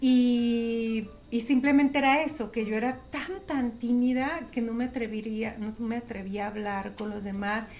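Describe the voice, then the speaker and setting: Fairly high pitch from a woman, with ordinary pitch variation, a fairly slow pace and hardly any pauses, plus audible room echo. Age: 40s. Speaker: emotional therapist and aromatherapist. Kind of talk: casual interview.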